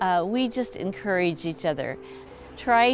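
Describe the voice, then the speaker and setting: Over music in the background, a woman at a medium pitch speaks at a very slow pace with lively intonation. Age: 80s+. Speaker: mother sharing parenting advice. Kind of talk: testimony. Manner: halting, many fillers.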